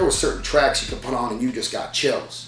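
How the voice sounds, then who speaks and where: Music plays in the background as a fairly quick voice with an American accent carries audible room echo. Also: man. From US Southwest, Chandler, Arizona. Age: 20s. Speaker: rapper. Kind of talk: interview. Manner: halting, many fillers.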